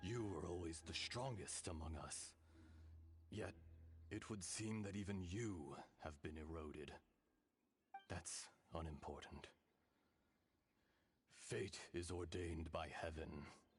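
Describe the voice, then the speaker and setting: In a put-on character voice, a man speaks very deep and low with a solemn tone. He moves at a fairly slow pace, with long, frequent pauses. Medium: video game. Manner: solemn, measured, archaic.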